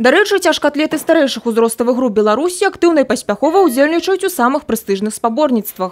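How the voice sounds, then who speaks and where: A woman speaks very fast at a high pitch, with very wide pitch swings but very even loudness. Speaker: TV news reporter. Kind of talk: news report narration.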